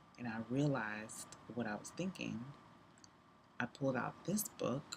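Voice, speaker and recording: Her pitch is very deep and low, with vocal fry and ordinary variation. The woman talks at a fairly slow pace. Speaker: business coach and live streamer. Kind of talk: casual live stream monologue.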